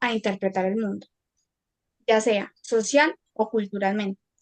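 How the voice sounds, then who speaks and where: At a fairly slow pace, a woman speaks with fairly even intonation and a fairly high pitch, the sound dry and close with no echo. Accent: slight paisa. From Colombia, Antioquia (paisa). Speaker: university student. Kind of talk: academic presentation.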